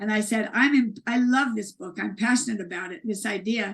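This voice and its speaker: A woman's somewhat breathy, fairly high voice with fairly even intonation at a moderate pace. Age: 60s. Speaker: author and speaker. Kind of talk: interview conversation. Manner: halting, many restarts.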